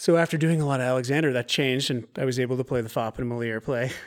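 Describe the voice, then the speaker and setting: On a very clean recording with a silent background, a man with an American accent speaks at a medium pitch with ordinary pitch variation in a plain, everyday voice. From US Pacific Northwest, Oregon coast. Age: 30s. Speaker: actor and movement teacher. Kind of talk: casual interview.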